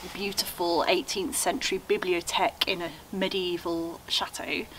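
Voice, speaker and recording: A woman speaks at a medium pitch over light background noise. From England, Norfolk. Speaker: YouTuber restoring a chateau. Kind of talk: guided tour video. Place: garage. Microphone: camera far.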